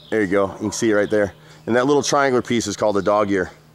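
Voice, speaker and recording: Very fast male speech amid noticeable background noise. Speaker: handyman contractor. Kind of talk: on-site walkthrough review. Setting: outdoors at a house. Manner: casual, conversational.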